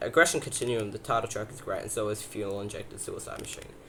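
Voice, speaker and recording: Amid noticeable background noise, a man talks at a very fast pace with fairly even intonation. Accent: Australian. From Australia. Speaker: YouTuber, metal music reviewer. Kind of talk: casual video review, album countdown. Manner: casual, hesitant with fillers.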